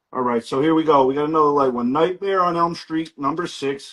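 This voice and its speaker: In a New Jersey accent, a man talks at a fairly high pitch with fairly even intonation. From New Jersey, US East Coast. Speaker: comic book seller. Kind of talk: live sales stream. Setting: livestream with family and friends present.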